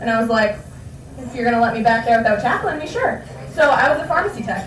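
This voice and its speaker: With an American accent and lively intonation, a woman speaks at a fairly high pitch, with audible room echo and noticeable background noise. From Boston area. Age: 20s. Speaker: stand-up comedian. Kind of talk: stand-up. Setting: stage with audience.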